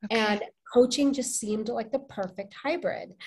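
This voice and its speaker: Against a quiet background, a somewhat breathy woman with a fairly high pitch talks at a moderate pace with ordinary pitch variation. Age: 40s. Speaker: life coach. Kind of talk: casual chat.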